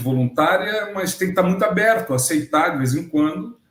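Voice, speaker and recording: Lively in intonation, a man moves along at a fairly quick pace. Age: 60s. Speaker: agronomist and retired researcher, interviewee. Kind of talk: casual interview chat. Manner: animated.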